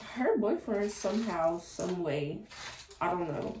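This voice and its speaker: Noticeable background noise runs through the clip. Through it, a woman talks. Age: 20s. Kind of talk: casual talk to camera. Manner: upbeat, chatty.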